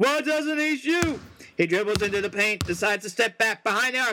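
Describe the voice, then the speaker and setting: Music plays in the background. Over it, a man speaks in a raised, projected voice. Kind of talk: live sports commentary, a mock broadcast of an imagined tournament.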